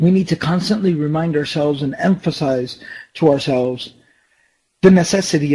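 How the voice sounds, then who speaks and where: A man's somewhat breathy, dark and mellow voice, fairly high-pitched for a man, with an American accent, ordinary pitch variation and a moderate pace. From US, Dallas, Texas. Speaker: Islamic lecturer. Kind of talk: lecture. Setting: online session. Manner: halting, many fillers.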